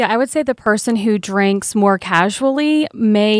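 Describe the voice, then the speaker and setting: Recorded very cleanly over a silent background, a woman with an ordinary speaking voice talks at a fairly high pitch. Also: dry, close sound with no echo. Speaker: addiction treatment specialist. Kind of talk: radio interview.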